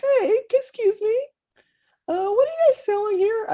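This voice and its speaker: A female-sounding put-on character voice comes through squeaky and at an extremely high pitch. The pace is moderate. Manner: friendly, innocuous.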